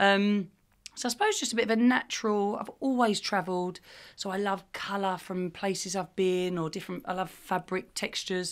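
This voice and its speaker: A woman speaks at a moderate pace and a medium pitch with ordinary pitch variation, in an unremarkable speaking voice. The recording is very clean, with a silent background. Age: 30s. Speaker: fashion brand founder and CEO. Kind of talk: casual chat.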